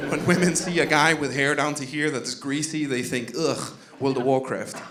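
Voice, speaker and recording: The recording carries audible room echo and noticeable background noise. Through it, a man speaks with a fairly high pitch and fairly even intonation. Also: moderate pace. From Denmark, Jutland. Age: 30s. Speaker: comedian. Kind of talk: stand-up. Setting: comedy club stage with audience.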